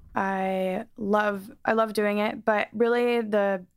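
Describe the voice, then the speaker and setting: Very clean and silent in the background, this recording features a woman with an ordinary speaking voice. Her pitch is medium, and her intonation fairly even. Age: 20s. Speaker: singer. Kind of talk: casual chat.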